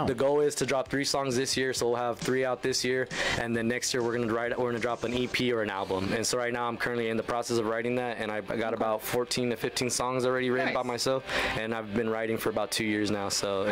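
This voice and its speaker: Over noticeable background noise, a man talks at a very fast pace with very even loudness. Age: 20s. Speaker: country singer-songwriter, radio guest. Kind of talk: casual, friendly. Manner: very fast talker; energetic, talks a lot without pausing. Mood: relaxed, friendly. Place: studio. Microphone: studio mic.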